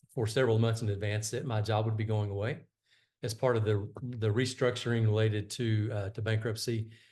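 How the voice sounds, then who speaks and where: Talking at a fairly quick pace, a man uses a medium pitch in a Texan accent. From Texas, High Plains. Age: 60s. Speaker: retired executive and coach. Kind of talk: interview. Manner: halting.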